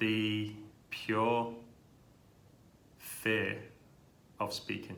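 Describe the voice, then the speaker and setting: Heard with audible room echo, a man with a British accent speaks at a fairly low pitch in a bright, sharp tone. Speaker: speech therapist who stutters. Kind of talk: interview testimony.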